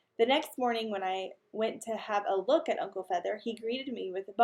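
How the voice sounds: Heard in a natural reading voice, the speech has ordinary pitch variation.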